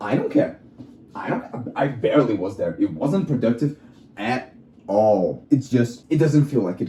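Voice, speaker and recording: A man with a non-native accent speaks at a fairly slow pace. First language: not English. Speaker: vlogger. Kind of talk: casual monologue. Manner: halting.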